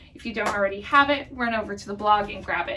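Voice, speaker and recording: Noticeable background noise fills the recording. Over it, a woman talks at a very fast pace. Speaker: gardening channel host. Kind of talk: tutorial. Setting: greenhouse.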